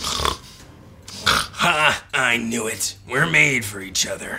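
A man growls in a raspy, put-on character voice at a medium pitch and a very slow pace. Clear music plays in the background. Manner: growling, playful.

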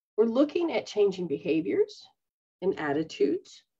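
With vocal fry and very wide pitch swings, a woman speaks at a moderate pace against a quiet background. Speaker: spiritual teacher. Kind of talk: casual teaching talk. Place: home room. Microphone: webcam.

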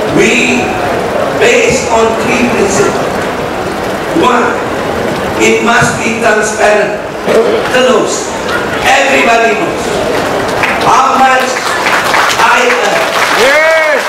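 A man at a very slow pace with long, frequent pauses and ordinary pitch variation, amid loud background noise and audible room echo. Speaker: politician giving speech. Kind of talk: political speech. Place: tent.

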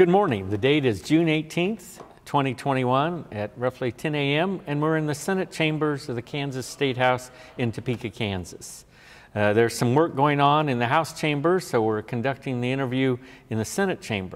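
At a moderate pace, a man speaks with fairly high pitch and lively intonation. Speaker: oral history interviewer. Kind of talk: interview questions. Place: hall. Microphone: lapel.

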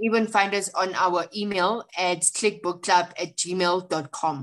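A woman with a South African accent talks at a medium pitch with fairly even intonation. Her pace is very slow, yet she leaves hardly any pauses. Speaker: book club co-founder. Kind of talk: casual chat.

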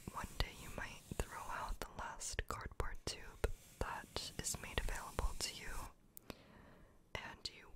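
A soft-spoken woman whispers at a very slow pace. Loud background noise is present. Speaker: ASMR creator. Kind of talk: soft-spoken ASMR chat. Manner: soft close whisper into microphone. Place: home room. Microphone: studio mic.

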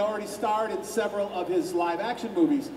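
The speech moves at a fairly quick pace. Room echo is audible, with light background noise. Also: man. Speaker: panelist, voice actor. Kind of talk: panel anecdote storytelling. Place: hall.

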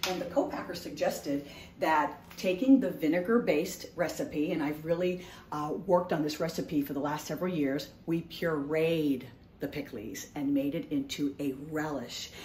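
Against light background noise, a woman speaks with a very deep, low pitch and ordinary pitch variation. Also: moderate pace. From Haitian household, US. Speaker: food entrepreneur. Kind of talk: sales pitch. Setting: home kitchen. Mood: upbeat, enthusiastic.

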